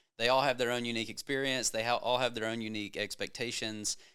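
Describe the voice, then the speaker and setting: A man with a Southern US accent speaks in a bright, sharp tone. His intonation is monotone and flat. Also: very clean recording, silent background. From Georgia, US South. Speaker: home builder executive. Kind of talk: casual chat.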